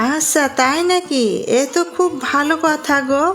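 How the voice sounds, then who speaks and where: A female-sounding cartoonish character voice, high in pitch, moves at a moderate pace over clear background noise. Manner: gentle, homely.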